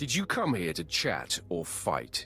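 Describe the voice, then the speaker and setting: A growling, put-on character voice moves at a fairly slow pace with music in the background. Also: man. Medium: video game. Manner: terse, blunt.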